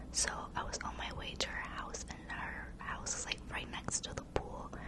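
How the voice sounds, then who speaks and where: Noticeable background noise accompanies the whispering voice of a woman. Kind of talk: ASMR storytime ramble. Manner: whispered; casual, chatty.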